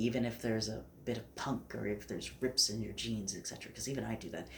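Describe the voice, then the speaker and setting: Soft-spoken man with fairly low pitch and vocal fry. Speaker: fashion vlogger. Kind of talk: casual vlog talk. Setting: filming to camera at home.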